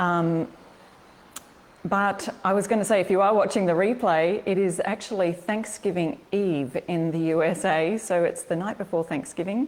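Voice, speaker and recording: A woman with an Australian accent at medium pitch, ordinary pitch variation and a moderate pace, amid noticeable background noise. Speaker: furniture upcycling and craft blogger. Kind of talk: live-stream craft tutorial. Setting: live stream. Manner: chatty, upbeat.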